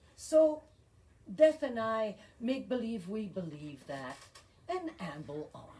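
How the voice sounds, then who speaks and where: Speaking at a very slow pace with long, frequent pauses, a woman sounds somewhat breathy, her pitch swinging very widely and her loudness varying greatly. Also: fairly high pitch for a woman. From Belgium. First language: French and Flemish. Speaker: poet. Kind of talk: poetry reading.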